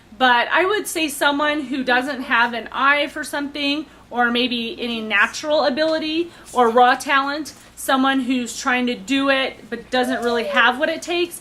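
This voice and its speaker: A woman's high-pitched, raised, projected voice at a moderate pace, ordinary pitch variation, noticeable background noise. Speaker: baking show applicant. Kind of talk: audition interview. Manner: hesitant, many fillers.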